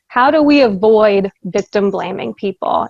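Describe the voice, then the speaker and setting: A woman with an ordinary speaking voice talks at a moderate pace, her pitch fairly high with ordinary variation. The sound is dry and close with no echo, over a quiet background. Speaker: safety trainer and presenter. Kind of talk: training presentation. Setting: virtual presentation.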